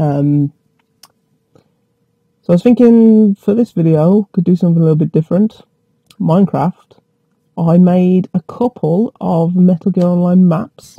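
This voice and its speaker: A man with a West Midlands accent talks at a moderate pace, his voice high-pitched for a man with ordinary pitch variation. The sound is dry and close with no echo, and he takes long, frequent pauses. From England, West Midlands. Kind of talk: casual gameplay commentary to camera.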